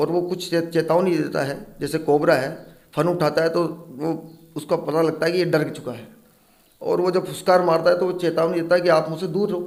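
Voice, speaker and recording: Room echo is audible around a high-pitched male voice. He speaks at a moderate pace in a flat monotone. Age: 40s. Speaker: snake catcher. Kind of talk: interview.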